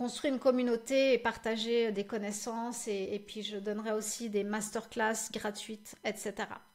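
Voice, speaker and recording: A woman's fairly high, monotone voice with flat intonation at a fairly slow pace. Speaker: social media marketing live show host. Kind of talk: live stream Q&A and announcements. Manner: stuttering, halting with many fillers.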